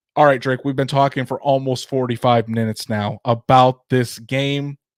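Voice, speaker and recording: In an American accent, a man speaks at a medium pitch and a fairly slow pace with fairly even intonation. The recording is very clean, with a silent background and a dry, close sound with no echo. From northern Indiana. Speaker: sports podcast host. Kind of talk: casual sports podcast chat. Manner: repeats words often, halting starts.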